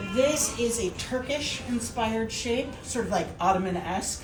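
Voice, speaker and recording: A woman with a fairly high voice sounds enthusiastic at a moderate pace, with music in the background and audible room echo. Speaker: interior designer. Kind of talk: showroom walkthrough. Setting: trade show showroom. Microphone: muffled by face mask.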